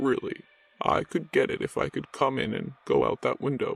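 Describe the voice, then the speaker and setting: At a moderate pace, a man performs a put-on character voice. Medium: read story. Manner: dazed, distant, unhurried.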